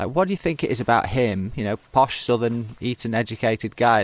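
A man at a very fast pace, with a dry, close sound with no echo and a quiet background. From Stockport, northern England. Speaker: podcast host. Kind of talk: interview.

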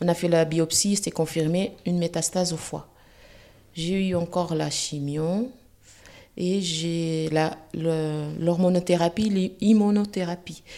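A woman's fairly low, dark, mellow voice, very slow, with fairly even intonation and long, frequent pauses. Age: 40s. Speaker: cancer patient. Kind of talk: testimony.

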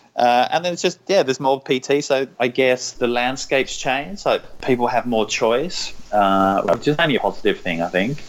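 With an English accent, a man talks using lively intonation. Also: medium pitch for a man, moderate pace. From England, London. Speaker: personal trainer and cookbook author. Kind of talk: casual interview chat.

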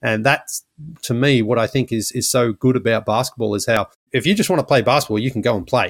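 With an Australian accent, a man talks at a very fast pace in a medium pitch and ordinary pitch variation, the sound dry and close with no echo. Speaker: former basketball podcast host, traveler. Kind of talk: casual interview.

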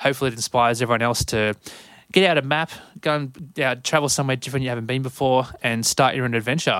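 Talking at a very fast pace, a man with an Australian accent keeps a medium pitch and ordinary pitch variation. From Sydney, Australia. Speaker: podcast host. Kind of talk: podcast intro monologue.

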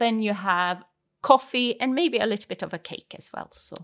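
With lively intonation, a woman talks in a fairly high pitch with a Swedish accent. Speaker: language teacher. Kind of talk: language lesson.

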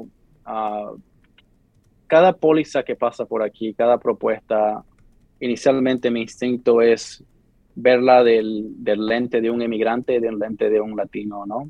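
Fairly slowly, a man talks at a medium pitch. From Bolivia, Santa Cruz; moved to US at 12. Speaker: lawyer working in state politics. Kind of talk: interview. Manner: halting, frequent repetitions.

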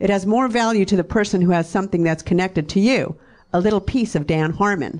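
With lively intonation, a woman speaks in an unremarkable speaking voice at a medium pitch. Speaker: fan, mother. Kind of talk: heated argument, reading texts aloud. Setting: stage with audience.

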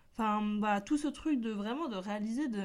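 Her medium pitch carries ordinary pitch variation as the woman speaks. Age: 20s. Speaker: podcast host. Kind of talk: casual solo chat. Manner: upbeat-sounding.

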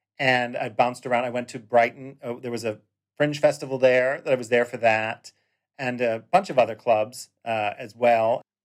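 At a moderate pace, a normal speaking voice with fairly even intonation shows big swings in loudness. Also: man, medium pitch for a man. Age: 40s. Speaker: drag performer. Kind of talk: interview. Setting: video call.

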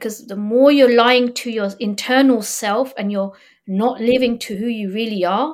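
A woman with a plain, everyday voice, fairly high in pitch, with ordinary pitch variation and a moderate pace. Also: very clean recording, silent background. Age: 40s. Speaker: motivational speaker and confidence coach. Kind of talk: podcast interview, personal story.

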